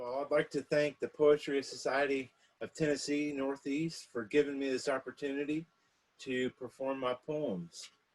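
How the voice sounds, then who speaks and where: This man has an unremarkable speaking voice, fairly high in pitch, with an American accent and fairly even intonation. He talks at a moderate pace, and the sound is dry and close with no echo. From South Carolina. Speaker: poet. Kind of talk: introduction to a poetry reading.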